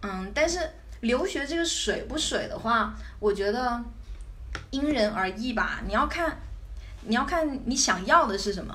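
A woman speaks in a high voice with lively intonation, at a fairly slow pace with long, frequent pauses. Room echo is audible, and there is noticeable background noise. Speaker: backpacker and student abroad. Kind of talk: casual interview chat.

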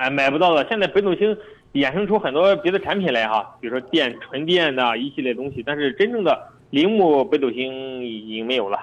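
At a fairly quick pace, the voice moves through very wide pitch swings. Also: man, fairly high pitch for a man. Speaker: used car dealership director. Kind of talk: radio call-in advice chat.

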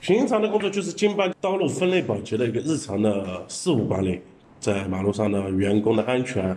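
At a moderate speed, the speech carries a dark, mellow tone and lively intonation. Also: man. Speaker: sanitation department manager. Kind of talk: interview.

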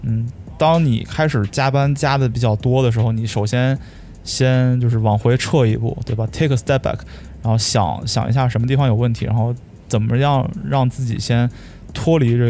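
Against noticeable background noise, a man with a medium pitch speaks at a moderate pace, with very even loudness and ordinary pitch variation. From Shijiazhuang, Hebei, China.

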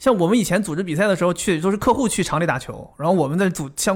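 Lively intonation carries speech that hurries along very fast. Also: man. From Dalian, northeast China. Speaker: podcast co-host. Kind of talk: casual chat.

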